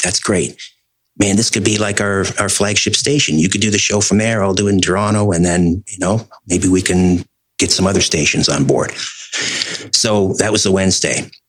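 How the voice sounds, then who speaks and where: This man has an unremarkable speaking voice, fairly low in pitch, delivered at a moderate pace with fairly even intonation. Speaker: radio host. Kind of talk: interview answer.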